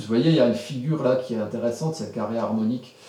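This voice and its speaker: Amid noticeable background noise and audible room echo, a man speaks at medium pitch. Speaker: astrologer. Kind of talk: tutorial. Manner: fast; animated.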